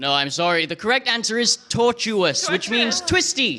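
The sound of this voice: A man's raised, projected voice at an extremely high pitch, with very wide pitch swings, a moderate pace, and noticeable background noise.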